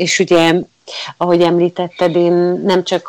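The recording is dry and close with no echo, carrying a woman's fairly low voice. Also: very clean recording, silent background. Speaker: theatre audio describer, former teacher. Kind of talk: interview. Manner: halting.

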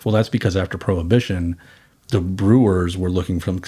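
A man with an American accent, a very deep, low pitch, a somewhat breathy sound and a fairly quick pace. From Boston. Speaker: wine company co-founder. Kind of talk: casual interview. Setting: at his home, remote recording.

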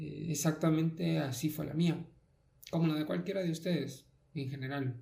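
Somewhat breathy and fairly high-pitched, a man speaks at a moderate pace. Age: 20s. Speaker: podcast host. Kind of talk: personal monologue. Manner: halting.

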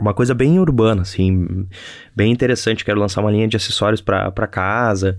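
With a southern Brazilian accent, a man talks at a fairly quick pace and fairly low pitch, his loudness very even on a very clean recording with a silent background. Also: ordinary pitch variation. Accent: gaucho (southern Brazilian). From Brazil, Rio Grande do Sul (Novo Hamburgo). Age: 20s. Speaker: podcaster and YouTuber, entrepreneur. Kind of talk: casual solo monologue. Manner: halting, repeats words.

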